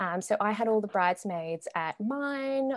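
In a very clean recording with a silent background and a dry, close sound with no echo, a woman speaks at a moderate pace with ordinary pitch variation. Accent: Australian. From Melbourne, Australia. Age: 20s. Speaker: recently married bride. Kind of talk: casual interview chat.

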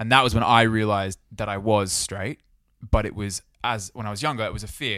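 In an Australian accent, a man with a fairly low pitch and a bright, sharp tone speaks at a fairly quick pace with fairly even intonation. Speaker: podcast co-host. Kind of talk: casual chat.

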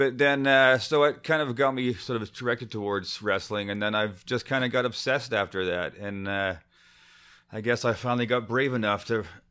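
A man with a Canadian accent talks in a normal speaking voice at medium pitch. His pace is fairly quick, his pitch variation ordinary. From Windsor, Ontario (Canada), from age four, Scottish family. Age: 50s. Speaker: writer and former musician and bartender. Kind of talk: casual interview.

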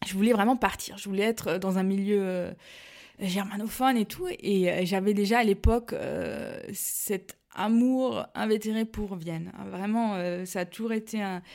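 A woman talks in a normal speaking voice at a fairly slow pace, with medium pitch and ordinary pitch variation. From Alsace, France (Mulhouse). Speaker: pastry business founder. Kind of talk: interview.

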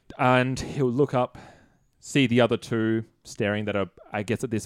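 With fairly even intonation, the speaker reads aloud in a natural voice.

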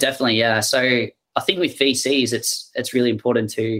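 A man with an Australian accent, medium pitch, fairly even intonation and a fairly quick pace. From Melbourne, Australia. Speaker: fintech company CEO. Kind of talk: interview.

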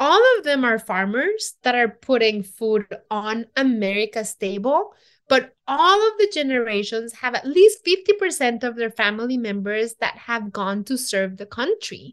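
With a Mexican accent, a woman speaks in a high pitch with lively intonation at a moderate pace against a quiet background. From Mexico City, Mexico. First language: Spanish. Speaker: chef and TV cooking show host. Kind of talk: interview conversation.

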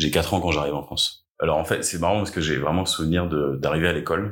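Talking at a very fast pace, a man keeps a very deep, low pitch. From Paris suburbs, Essonne. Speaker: attack survivor. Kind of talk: testimony. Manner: hesitant, many filler sounds.

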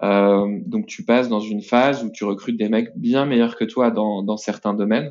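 A man with a normal speaking voice, medium pitch and a moderate pace. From France, Nantes. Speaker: entrepreneur, company co-founder. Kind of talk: interview.

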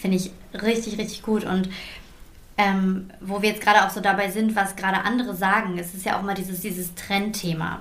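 The speech is monotone and flat, with noticeable background noise behind it. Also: woman, medium pitch for a woman, fairly quick pace. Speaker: podcast host and beauty entrepreneur. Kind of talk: casual chat. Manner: shaky voice at emotional moment.

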